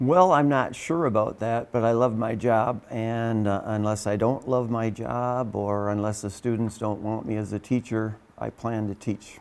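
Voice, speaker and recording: In a plain, everyday voice, a man speaks at a fairly slow pace with a medium pitch, fairly even intonation and hardly any pauses. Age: 60s. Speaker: teacher and pastor. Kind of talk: interview answers.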